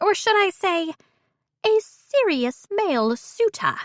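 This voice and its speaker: In a put-on character voice, a woman squeaks at an extremely high pitch with very wide pitch swings, going at a fairly slow pace in a dry, close sound with no echo. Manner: playful, mock-posh.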